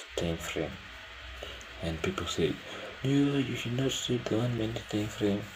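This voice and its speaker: A man speaking at a fairly slow pace with long, frequent pauses and ordinary pitch variation, with audible room echo and noticeable background noise. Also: medium pitch for a man. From Kenya. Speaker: day trader streaming his trades. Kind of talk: casual live commentary.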